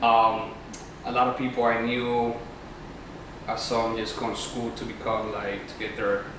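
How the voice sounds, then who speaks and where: A man talks at a moderate pace in a medium pitch, with monotone, flat intonation and long, frequent pauses. The room echo is audible and background noise is noticeable. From Peru, Lima. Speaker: guest, freelancer. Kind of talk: casual interview chat. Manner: hesitant, many fillers.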